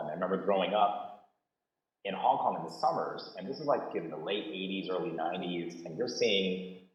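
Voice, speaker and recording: In a room with audible echo, a man with an American accent talks at a fairly quick pace. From US West Coast (San Jose, Bay Area). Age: 40s. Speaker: panelist, entrepreneur. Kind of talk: panel discussion. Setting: video call. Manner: casual, animated.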